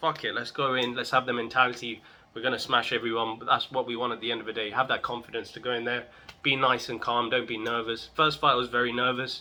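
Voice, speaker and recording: In an animated tone, a man at a medium pitch speaks at a very fast pace. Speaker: vlogger, amateur martial artist. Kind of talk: casual vlog update.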